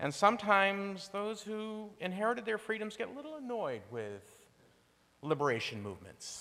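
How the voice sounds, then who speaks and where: Raised and projected, a man's high voice has a bright, sharp tone and big swings in loudness, moving at a moderate pace with audible room echo. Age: 60s. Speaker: lay speaker at a congregation. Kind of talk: sermon.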